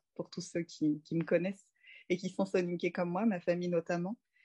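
Here a woman speaks in a monotone, flat intonation at a fairly low pitch. Her tone is dark and mellow, and the sound is dry and close with no echo. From Paris suburbs, France. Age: 30s. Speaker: doula. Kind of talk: casual interview.

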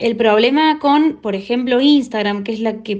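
A woman speaks in a plain, everyday voice. Her pitch is fairly high, with ordinary variation. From Argentina, Córdoba. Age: young. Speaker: blind technology user. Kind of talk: testimony.

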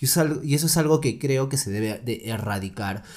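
A man uses an ordinary speaking voice and keeps to a moderate pace. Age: 20s. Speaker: lawyer. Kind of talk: casual chat.

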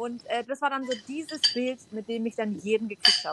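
At a moderate pace, a woman talks in a high pitch with a bright, sharp tone and ordinary pitch variation, the sound dry and close with no echo. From Stuttgart area, Germany. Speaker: photographer and former model. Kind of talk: casual chat.

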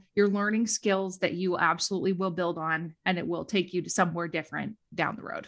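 A woman with a Minnesota accent speaks at a moderate pace with hardly any pauses, on a very clean recording with a silent background. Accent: Minnesota Midwestern. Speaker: educator and social media creator. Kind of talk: casual interview chat.

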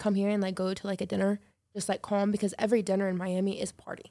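A woman's medium-pitched voice with an American accent, delivered at a very fast pace. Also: very clean recording, silent background. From Chicago, US Midwest. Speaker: podcast guest. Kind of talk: casual chat.

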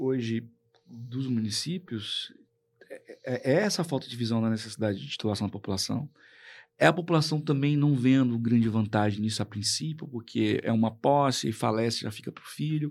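At a moderate pace and medium pitch, a man speaks with ordinary pitch variation and big swings in loudness on a very clean recording with a silent background. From Brazil, Tocantins (Colinas). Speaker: public official and lawyer. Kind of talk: radio interview. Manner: halting, repeats words.

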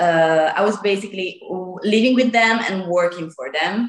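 A woman with an Italian accent and ordinary pitch variation. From northern Italy, near Lake Como. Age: 20s. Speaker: guest, former au pair.

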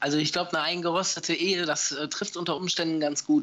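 Noticeable background noise behind a man with fairly high pitch, ordinary pitch variation and a moderate pace. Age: 40s. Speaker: paintball player and former stream commentator. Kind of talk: casual interview.

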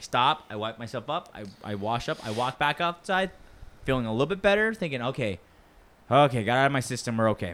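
Lively intonation marks a man's ordinary speaking voice, medium in pitch, with an American accent. He talks at a fairly quick pace. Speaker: podcast co-host. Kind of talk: casual banter, comedy podcast. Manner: casual, joking, profane.

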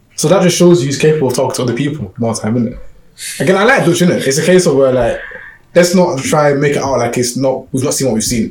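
A man with a London accent, very fast and fairly high-pitched, with ordinary pitch variation, audible room echo and noticeable background noise. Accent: London Multicultural English. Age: 20s. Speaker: podcast host. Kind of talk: casual chat.

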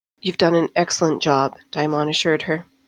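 A woman uses a plain, everyday voice at a fairly low pitch. She talks at a moderate pace. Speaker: audiobook narrator. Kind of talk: fantasy audiobook narration, read aloud from a novel with a brief podcast intro and outro. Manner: measured, even storyteller pacing.

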